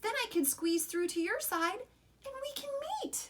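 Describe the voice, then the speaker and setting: A woman puts on a squeaky character voice at an extremely high pitch, talking at a moderate pace. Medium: read story.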